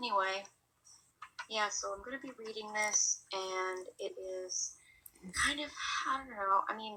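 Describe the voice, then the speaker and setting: A quiet woman speaks at fairly high pitch with ordinary pitch variation. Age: 20s. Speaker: amateur fiction writer. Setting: at home, family sleeping. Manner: hesitant.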